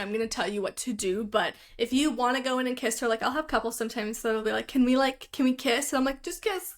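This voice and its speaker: A woman speaks loudly in a high voice with an American accent. The recording is very clean, with a silent background. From Philadelphia, US. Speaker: photographer. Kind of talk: casual chat.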